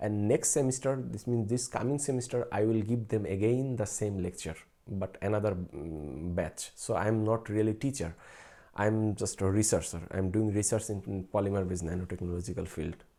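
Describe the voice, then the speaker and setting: The speech moves at a fairly quick pace with a Bengali accent and a dark, mellow tone. The recording is very clean, with a silent background. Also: man, fairly low pitch for a man, ordinary pitch variation. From Bangladesh. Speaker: researcher and streamer. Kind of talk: casual live stream chat. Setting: late-night live stream. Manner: halting, with fillers.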